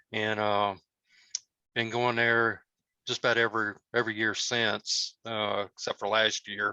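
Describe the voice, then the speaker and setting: With a Southern US accent, a man speaks at a fairly slow pace and fairly low pitch, his intonation flat and monotone, his tone bright and sharp, with long, frequent pauses and a dry, close sound with no echo. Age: 50s. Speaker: cosplayer. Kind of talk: casual talk. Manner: halting, many fillers.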